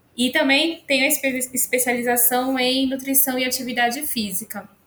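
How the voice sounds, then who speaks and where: Her voice is high-pitched, with a bright, sharp tone. The woman speaks at a fairly slow pace. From São Paulo city, Brazil. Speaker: nutrition professor. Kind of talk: casual chat.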